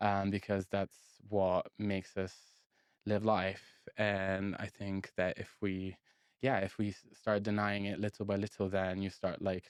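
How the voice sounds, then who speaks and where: With an Italian accent, a man speaks fairly slowly at a fairly low pitch in monotone, flat intonation, the sound dry and close with no echo. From northern Italy (Genoa and Milan). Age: 20s. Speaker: singer-songwriter. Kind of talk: casual interview chat.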